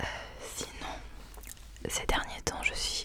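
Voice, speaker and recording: Whispering over noticeable background noise. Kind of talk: whispered ASMR book recommendations, casual talk to camera. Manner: whispered, soft-spoken.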